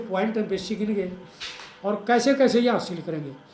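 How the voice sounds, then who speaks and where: Music in the background and audible room echo behind a man's high-pitched voice with ordinary pitch variation. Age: 60s. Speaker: interviewer. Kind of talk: interview discussion.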